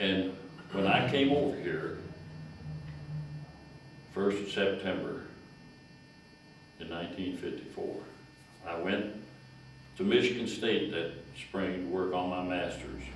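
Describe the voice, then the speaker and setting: A man with a very deep, low pitch speaks at a fairly slow pace with long, frequent pauses and ordinary pitch variation. Noticeable background noise can be heard. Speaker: retired county extension agent. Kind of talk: talk to a historical society meeting.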